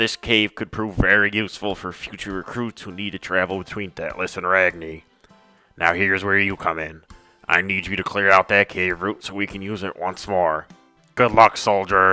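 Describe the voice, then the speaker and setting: A man uses a raspy, put-on character voice at a very deep, low pitch with monotone, flat intonation, speaking at a moderate pace with big swings in loudness as faint music plays in the background. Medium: solo performance. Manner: brisk, authoritative.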